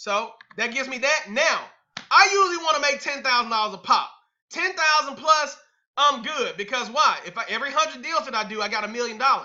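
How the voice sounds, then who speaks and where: Loud and animated, a man speaks at an extremely high pitch with lively intonation and a fairly quick pace. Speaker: real estate investing coach. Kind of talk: webinar presentation. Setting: online webinar.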